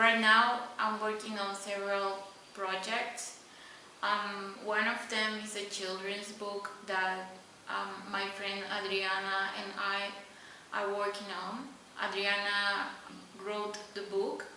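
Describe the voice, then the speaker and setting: Heard over noticeable background noise and audible room echo, a woman speaks at a very slow pace with medium pitch and monotone, flat intonation. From Honduras. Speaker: illustrator. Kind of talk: recorded artist talk.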